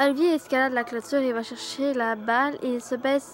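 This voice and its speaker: A woman with a Quebec accent speaks in a high pitch at a moderate pace, with fairly even intonation. Noticeable background noise runs behind her. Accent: Québécois. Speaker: youtuber reading horror stories. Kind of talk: reading aloud a horror story with casual asides. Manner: halting, with hesitations and self-corrections.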